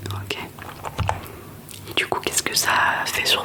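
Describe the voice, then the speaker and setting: Whispering in a gentle tone amid noticeable background noise. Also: woman. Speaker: ASMR creator. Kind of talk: ASMR roleplay, personal-test consultation. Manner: soft-spoken, gentle, repetitive.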